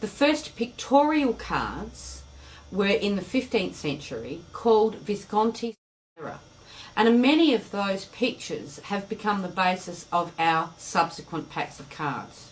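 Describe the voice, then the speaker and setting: With an Australian accent, a woman speaks at a fairly slow pace with a medium pitch and vocal fry. Her pitch swings very widely, and her loudness shifts a lot. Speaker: tarot teacher. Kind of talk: lecture.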